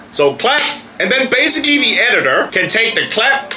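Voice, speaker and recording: Raising and projecting his voice, a man talks at a fairly quick pace with very wide pitch swings over light background noise. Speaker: video creator. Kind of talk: casual vlog chat. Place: studio.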